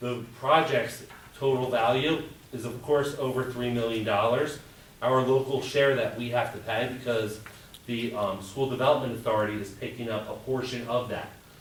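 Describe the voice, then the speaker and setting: Noticeable background noise and audible room echo surround the voice. The pace is moderate, and the intonation fairly even. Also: man, medium pitch for a man. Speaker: school budget presenter. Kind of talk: budget presentation at board meeting. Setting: board of education work session.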